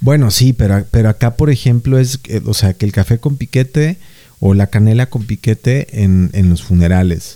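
With a Mexican accent, a man speaks in a dark, mellow tone at very even loudness with ordinary pitch variation, the sound dry and close with no echo. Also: medium pitch for a man, moderate pace. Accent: Mexican Spanish (Jalisco). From Mexico, Jalisco. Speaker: podcast co-host. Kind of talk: casual chat.

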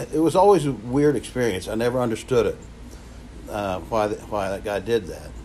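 A man with an Appalachian accent at a medium pitch, ordinary pitch variation and a moderate pace. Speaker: prevention coalition coordinator. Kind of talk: personal testimony.

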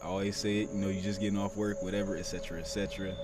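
A man with a fairly low pitch speaks at a fairly quick pace with fairly even intonation. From Toledo, Ohio. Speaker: podcast host. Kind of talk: casual chat, podcast interview. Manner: casual, conversational.

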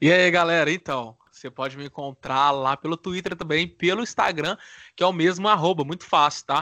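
In a dry, close recording with no echo and a quiet background, a man with a fairly high pitch speaks at a moderate pace in a bright, sharp tone. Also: ordinary pitch variation, big swings in loudness. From Divinópolis, Minas Gerais, Brazil. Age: 20s. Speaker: podcast co-host, law student. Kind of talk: casual chat.

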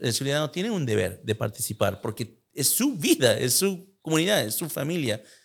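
In a very clean recording with a silent background, a man with a fairly high, somewhat breathy voice speaks at a fairly quick pace with very wide pitch swings. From United States. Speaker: podcast host. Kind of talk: interview.

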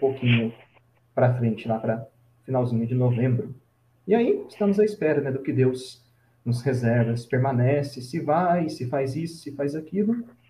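At a moderate pace, a man of medium pitch talks in a dark, mellow, somewhat breathy tone with ordinary pitch variation. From Brazil, São Paulo state (Vale do Paraíba). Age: 20s. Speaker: Franciscan friar. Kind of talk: casual interview, life story.

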